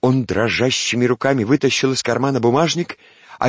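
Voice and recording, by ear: The words are read aloud in a natural voice.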